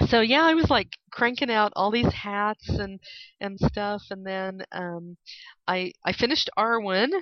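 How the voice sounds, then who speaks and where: At a fairly slow pace, a woman talks in a medium pitch with ordinary pitch variation and a plain, everyday voice. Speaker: podcast host. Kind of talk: casual chat.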